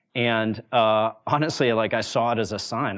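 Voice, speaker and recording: A man with an unremarkable speaking voice talks at a moderate pace and a fairly low pitch. The background is quiet. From US, Wyoming small town. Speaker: venture capitalist and former startup founder. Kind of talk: talk to a university audience.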